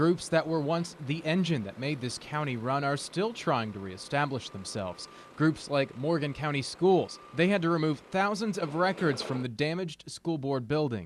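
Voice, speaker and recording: A man talking at a moderate pace with lively intonation and hardly any pauses, amid noticeable background noise. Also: fairly high pitch for a man. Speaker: TV news reporter. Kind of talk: TV news package voice-over.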